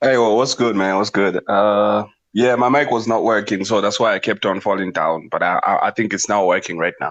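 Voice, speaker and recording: A man with a non-native accent speaks at a fairly quick pace with hardly any pauses. His pitch is fairly low, his intonation fairly even and his loudness very even. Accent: foreign, noticeable. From outside the US. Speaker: livestream participant. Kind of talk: casual debate. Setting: TikTok livestream. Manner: halting, many repetitions.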